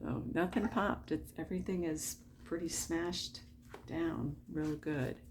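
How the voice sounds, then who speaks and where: A soft-spoken woman at a fairly slow pace. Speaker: diamond painting hobbyist vlogger. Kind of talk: casual late-night craft vlog. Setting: at home at night. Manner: quiet, soft-spoken; chatty, filler-heavy.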